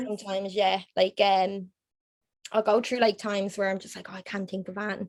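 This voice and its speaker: A woman with an Irish accent talks at a fairly quick pace in a medium pitch, her intonation monotone and flat while her loudness swings widely. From Ireland. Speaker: graphic designer. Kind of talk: podcast interview answer.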